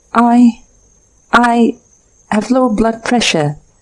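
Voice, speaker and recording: A woman puts on a squeaky character voice at a fairly high pitch with ordinary pitch variation. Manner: complaining, fretful.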